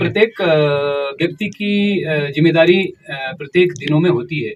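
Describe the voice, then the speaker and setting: A man's high voice with ordinary pitch variation. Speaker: community radio jockey. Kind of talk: interview answer.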